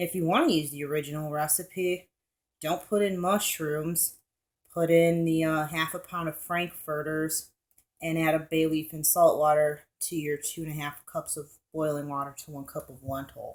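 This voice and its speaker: In a monotone, flat intonation, a woman with a very deep, low pitch speaks at a moderate pace, her loudness swinging widely. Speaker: home cooking vlogger. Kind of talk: cooking tutorial. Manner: casual, rambling.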